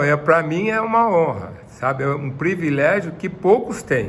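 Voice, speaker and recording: Audible room echo surrounds a man speaking at a high pitch with lively intonation and hardly any pauses. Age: 60s. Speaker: retired footballer. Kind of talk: interview.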